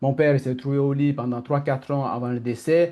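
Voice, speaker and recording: A man speaks with a dark, mellow tone at a medium pitch and a fairly quick pace. His intonation is fairly even, with an Italian accent. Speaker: coach. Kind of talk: online masterclass talk. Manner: fast; halting.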